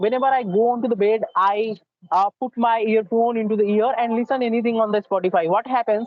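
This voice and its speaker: Speech with an Indian accent moves at a fairly quick pace. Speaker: English learner. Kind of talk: spoken English practice interview. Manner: fast.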